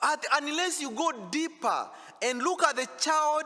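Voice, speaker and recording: In a raised, projected voice with a bright, sharp tone, a man speaks at an extremely high pitch and a fairly slow pace with lively intonation. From Africa. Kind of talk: sermon. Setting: church. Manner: loud.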